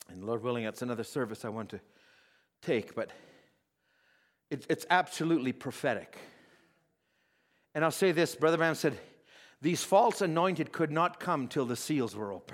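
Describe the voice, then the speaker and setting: Lively intonation at a moderate pace with long, frequent pauses, on a very clean recording with a silent background. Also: man, fairly high pitch for a man. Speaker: pastor. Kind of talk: sermon. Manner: loud; animated.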